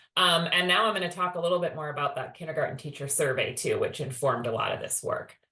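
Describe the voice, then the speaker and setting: Talking at a very fast pace with hardly any pauses, a woman is heard with audible room echo. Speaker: education department staff presenter. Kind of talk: webinar presentation.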